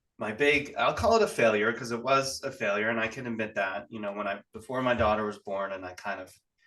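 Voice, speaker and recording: In an American accent, a man speaks at a very fast pace with hardly any pauses. His pitch is medium and his intonation fairly even. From California. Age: 40s. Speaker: real estate investor. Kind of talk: podcast interview.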